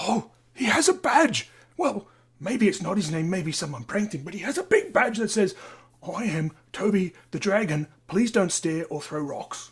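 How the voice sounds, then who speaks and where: In a put-on character voice, the speaker talks at a moderate pace and a middle pitch. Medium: stage play. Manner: excitable, intense.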